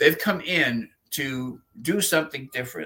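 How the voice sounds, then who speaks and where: An ordinary speaking voice from a man, fairly high in pitch, at a moderate pace with lively intonation. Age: 60s. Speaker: exorcist clergyman. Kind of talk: interview.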